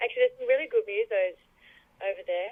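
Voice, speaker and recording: A woman is speaking. She has an Australian accent. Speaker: singer and songwriter. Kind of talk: radio interview.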